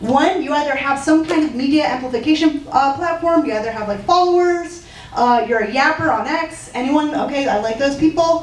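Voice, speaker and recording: Amid noticeable background noise and audible room echo, a woman with a high pitch talks at a fairly quick pace with ordinary pitch variation. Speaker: startup founder. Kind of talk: startup pitch and Q&A. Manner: fast.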